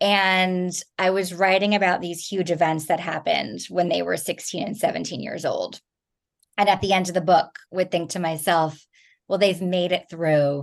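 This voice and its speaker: An ordinary speaking voice, with an American accent, moves at a moderate pace with fairly even intonation. The background is quiet. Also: woman, fairly low pitch for a woman. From New Jersey. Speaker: thriller novelist. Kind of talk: interview.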